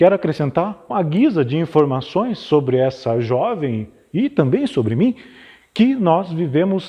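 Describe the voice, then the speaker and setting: The man's voice has a dark, mellow tone. Its pitch swings very widely. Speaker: dramatic reader. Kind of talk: dramatized literary reading. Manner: expressive.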